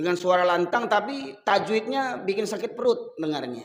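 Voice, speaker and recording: A man speaks in an animated tone with a high voice. His pace is moderate. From Sumatra, Medan. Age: 50s. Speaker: Islamic preacher. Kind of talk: sermon.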